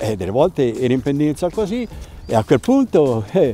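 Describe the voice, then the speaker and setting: The man is recorded with a dry sound and no echo. Light background noise can be heard. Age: 80s+. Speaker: ski instructor. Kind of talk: interview and storytelling. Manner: halting, with fillers and repetitions. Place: open country.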